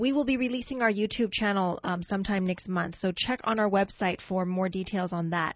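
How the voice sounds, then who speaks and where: A woman's somewhat breathy, medium-pitched voice at a fairly quick pace, with ordinary pitch variation and very even loudness. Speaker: radio co-host. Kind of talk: radio show hosting. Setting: radio studio.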